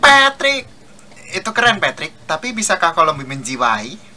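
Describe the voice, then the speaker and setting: A cartoonish character voice speaks at a middle pitch and moderate pace, with very wide pitch swings. Clear music plays in the background. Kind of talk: cartoon fan dub.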